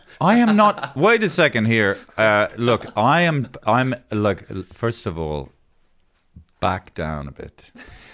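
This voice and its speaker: Speaking very slowly with an Irish accent, a man swings his medium pitch very widely. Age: 60s. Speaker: podcast host and comedian. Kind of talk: casual chat. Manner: animated.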